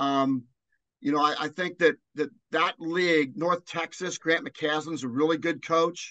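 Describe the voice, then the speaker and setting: Speaking at a fairly slow pace with an American accent, a man has a bright, sharp tone, a fairly high pitch and fairly even intonation, in a dry, close sound with no echo over a quiet background. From Cincinnati area, US Midwest (born Newport, Kentucky). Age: 60s. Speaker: college basketball analyst and former coach. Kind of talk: interview.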